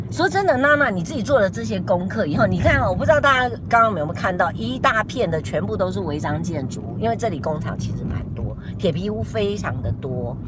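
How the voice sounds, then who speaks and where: Amid noticeable background noise and audible room echo, a woman talks at a fairly quick pace with hardly any pauses. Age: 60s. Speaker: YouTuber host. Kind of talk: casual live-stream chat. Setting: in a car, driving.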